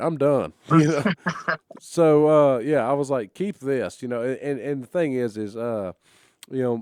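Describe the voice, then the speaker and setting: In a normal speaking voice, a man with an American accent talks at a moderate pace, his fairly high pitch showing ordinary variation. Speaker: professional wrestler. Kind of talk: podcast host talk. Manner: casual, conversational.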